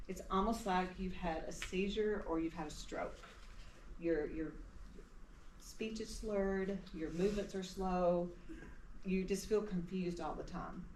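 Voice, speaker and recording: In a Tennessee accent, a woman speaks at a medium pitch and a fairly slow pace with long, frequent pauses and fairly even intonation, with audible room echo. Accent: Southern US (Tennessee). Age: 60s. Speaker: retired nurse, cancer survivor. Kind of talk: personal testimony talk.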